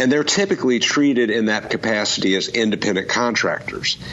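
A man speaks fairly quickly as noticeable noise fills the background. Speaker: law professor. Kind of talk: radio call-in show. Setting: remote call. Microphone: Skype line.

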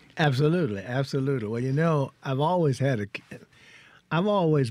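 A man with a Mississippi accent at medium pitch, fairly quick in pace, lively in intonation, on a very clean recording with a silent background. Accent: US South (Mississippi). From Mississippi Delta. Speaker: retired biochemist and educator. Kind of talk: interview. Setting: studio.

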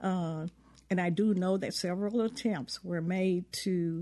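Against a quiet background, a woman speaks at a fairly slow pace with a medium pitch, ordinary pitch variation and a dark, mellow tone. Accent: Southern US. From US South. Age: 70s. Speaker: civil rights veteran and memoir author. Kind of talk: interview. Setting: studio.

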